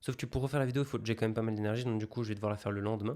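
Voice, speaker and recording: A man with fairly even intonation, in a very clean recording over a silent background. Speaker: online business content creator. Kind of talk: casual vlog. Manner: hesitant, many filler sounds.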